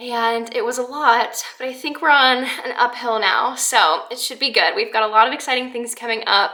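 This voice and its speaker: Noticeable background noise sits behind a woman who talks in a high pitch with ordinary pitch variation and hardly any pauses. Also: moderate pace. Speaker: lifestyle vlogger. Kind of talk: casual vlog monologue.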